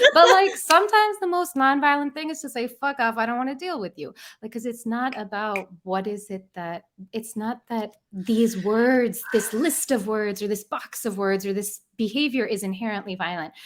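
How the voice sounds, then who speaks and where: The speech moves at a moderate pace with hardly any pauses and lively intonation, recorded very cleanly against a silent background. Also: woman, fairly high pitch for a woman. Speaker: author and therapy facilitator. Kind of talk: podcast interview. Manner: soft and gentle.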